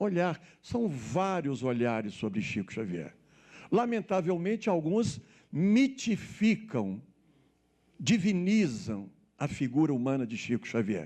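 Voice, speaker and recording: Very slowly and with long, frequent pauses, a man with a high, dark and mellow voice swings very widely in pitch against a quiet background. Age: 60s. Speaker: spiritist speaker and author. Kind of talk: spiritist lecture.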